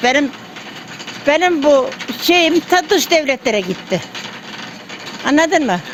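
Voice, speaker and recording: Noticeable background noise sits under the recording. Over it, a woman speaks in a high voice. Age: 80s+. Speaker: village miller. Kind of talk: interview answer.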